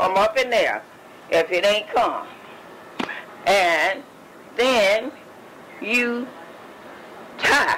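Speaking in a Southern US accent, a woman goes at a very slow pace with long, frequent pauses and lively intonation. Her loudness stays very even, and there is noticeable background noise. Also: fairly high pitch for a woman. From Mississippi. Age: 80s+. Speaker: retired midwife. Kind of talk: interview answer. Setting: home recording.

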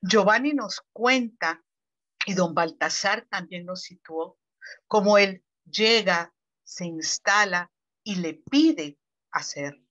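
Speaking at a very slow pace with long, frequent pauses, a woman uses lively intonation and a bright, sharp tone, her loudness swinging widely over a quiet background. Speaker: researcher commentator. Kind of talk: formal commentary. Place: home room. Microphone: earbuds.

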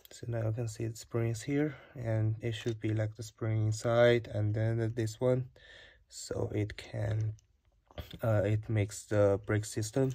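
The speaker talks at a fairly slow pace with a non-native accent. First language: not English. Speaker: DIY video maker. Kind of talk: tutorial. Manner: halting. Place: home room. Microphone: phone near.

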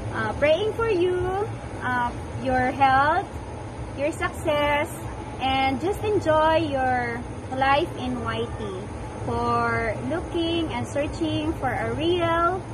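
A woman at a very slow pace with long, frequent pauses, amid noticeable background noise. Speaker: vlogger. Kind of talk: casual greeting to a fellow channel owner. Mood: warm, cheerful. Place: open country.

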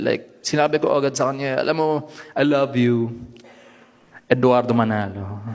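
This man uses a normal speaking voice. His speech sits at a medium pitch and varies in an ordinary way. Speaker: stand-up comedian. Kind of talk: stand-up.

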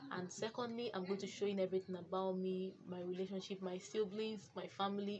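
Over light background noise, a woman with a Nigerian accent talks at a fairly quick pace. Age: 20s. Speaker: vlogger. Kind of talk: vlog intro. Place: home room. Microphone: phone near.

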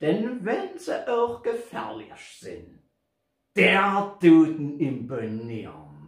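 Against a quiet background, the speech comes very slowly, with audible room echo. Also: man. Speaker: poetry reciter. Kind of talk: poetry reading. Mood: humorous, theatrical. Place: home room. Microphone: camera far.

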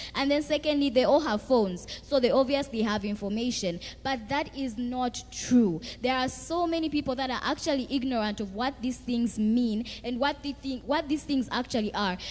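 Speaking at a moderate pace with hardly any pauses, a woman uses a high pitch and ordinary pitch variation. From Zambia. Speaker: youth activist; panelist. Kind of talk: panel discussion. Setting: stage with audience. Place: hall. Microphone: handheld.

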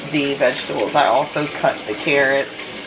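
A woman talks at a slow pace over clear background noise.

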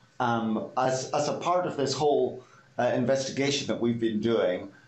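Audible room echo surrounds the voice. It belongs to a man who uses ordinary pitch variation. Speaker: guest. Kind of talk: interview answer. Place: office. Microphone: video call.

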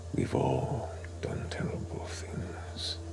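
A man uses a booming, put-on character voice. Loud background noise runs through the clip.

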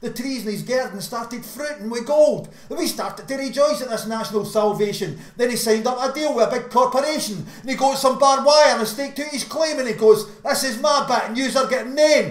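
A man with a Glaswegian accent talks with hardly any pauses and ordinary pitch variation. Room echo is audible. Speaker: slam poet. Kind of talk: slam poetry performance. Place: home room. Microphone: webcam.

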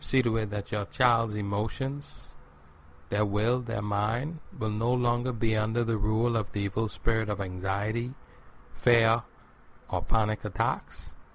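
Speaking at a fairly slow pace, a man with a medium pitch sounds somewhat breathy and keeps a fairly even intonation. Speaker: pastor leading prayer. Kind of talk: fervent deliverance prayer, spiritual warfare binding spirits. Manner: insistent, repetitive incantatory cadence with refrain; commanding, declarative pleading tone.

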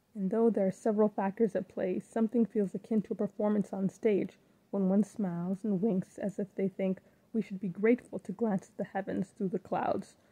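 A woman speaks fairly quickly at a medium pitch, somewhat breathy and dark, mellow in tone, with monotone, flat intonation. Her loudness swings widely, and the sound is dry and close with no echo. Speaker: poet. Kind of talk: spoken word poetry performance.

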